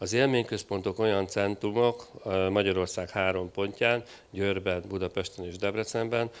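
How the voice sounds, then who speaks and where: A man's fairly low, flat, monotone voice. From Hungary. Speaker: project leader at a government IT agency; panelist. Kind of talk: conference interview. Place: stage. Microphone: handheld.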